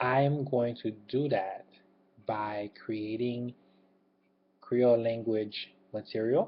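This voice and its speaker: An American accent marks this man's voice. He talks at a very slow pace with ordinary pitch variation. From Haiti, raised in the US from early childhood. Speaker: YouTuber, secular group organizer. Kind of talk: channel introduction to webcam. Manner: hesitant, many fillers.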